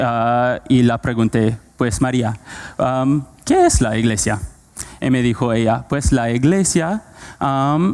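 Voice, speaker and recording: Very even in loudness, a man speaks at a medium pitch with ordinary pitch variation and a very slow pace. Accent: non-native. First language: not Spanish (speaking Spanish). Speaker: preacher. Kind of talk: sermon. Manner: halting, many fillers.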